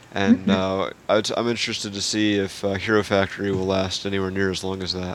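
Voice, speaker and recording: A man's fairly low, flat monotone at a very fast pace, hardly any pauses, over noticeable background noise. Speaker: podcast host. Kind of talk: casual group chat podcast.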